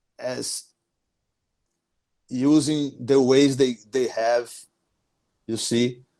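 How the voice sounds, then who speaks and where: A man speaks at a medium pitch with a Brazilian accent. His pace is very slow. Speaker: small business owner. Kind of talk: podcast interview. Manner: halting, frequent repetitions.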